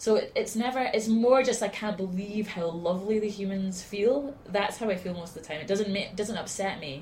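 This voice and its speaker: A woman's medium-pitched voice with hardly any pauses, over noticeable background noise. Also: ordinary pitch variation, moderate pace. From Scotland, Aberdeen. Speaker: singer-songwriter. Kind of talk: casual chat. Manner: halting.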